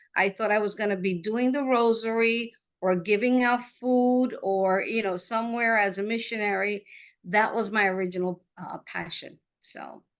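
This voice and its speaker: Against a quiet background, a plain, everyday voice carries fairly even intonation. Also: woman, fairly high pitch for a woman, moderate pace. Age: 60s. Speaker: agile coach and technology leader. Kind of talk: live podcast interview.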